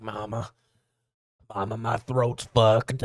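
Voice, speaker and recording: In a put-on character voice, a man delivers raspy, monotone, flat lines at a medium pitch and fairly slow pace. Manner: complaining, pleading.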